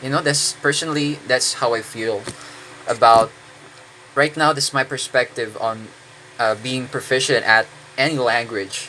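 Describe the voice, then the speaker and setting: The speech has a Filipino accent and a moderate pace with long, frequent pauses. Intonation stays fairly even over noticeable background noise. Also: man, medium pitch for a man. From Philippines. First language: Tagalog. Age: 20s. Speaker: English teacher. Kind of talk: casual monologue. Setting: indoors, own room. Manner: halting, many fillers.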